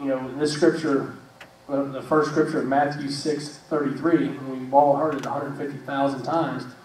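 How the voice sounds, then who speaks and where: A man with a fairly high pitch speaks at a moderate pace in a monotone, flat delivery. Audible room echo and noticeable background noise fill the recording. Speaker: church show host. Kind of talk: casual faith discussion. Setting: live stream with studio audience. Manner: loud; halting.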